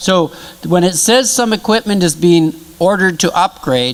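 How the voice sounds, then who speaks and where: A man's high-pitched voice at a moderate pace with lively intonation over noticeable background noise. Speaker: project presenter. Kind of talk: presentation. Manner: loud.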